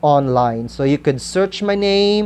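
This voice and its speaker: A woman speaks in a Visayan Filipino accent with a very deep, low pitch. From Philippines, Kalinog, central Panay. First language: Kinaray-a. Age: 40s. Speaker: school principal and writer. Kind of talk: interview, personal account. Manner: hesitant, many fillers.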